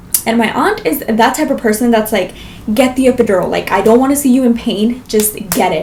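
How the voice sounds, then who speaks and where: With noticeable background noise behind her, a woman speaks at a fairly high pitch with an American accent. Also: ordinary pitch variation, fairly quick pace. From Las Vegas, US. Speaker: vlogger. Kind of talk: storytelling vlog.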